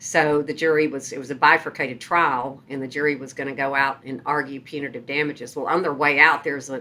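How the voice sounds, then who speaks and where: A woman speaks very fast at a very deep, low pitch, in a bright, sharp tone. Her intonation is flat and monotone, while her loudness swings widely. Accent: Texas. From Texas, Sherman. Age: 60s. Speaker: trial lawyer. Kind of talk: interview storytelling.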